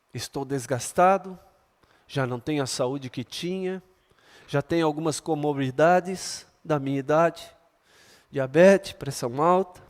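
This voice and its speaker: Pausing long and often, a man with a fairly high pitch talks at a fairly slow pace with ordinary pitch variation. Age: 60s. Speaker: pastor. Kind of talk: sermon. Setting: church. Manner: animated.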